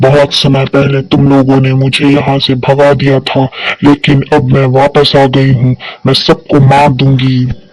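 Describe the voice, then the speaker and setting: In a cartoonish character voice, a man speaks at a moderate pace with medium pitch and monotone, flat intonation. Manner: angry, menacing.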